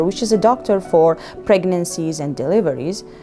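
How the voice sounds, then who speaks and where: Music plays in the background as a woman with an Iraqi accent speaks at a fairly slow pace. Her fairly low voice has lively intonation. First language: Arabic. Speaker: physician. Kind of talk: personal story told to young learners.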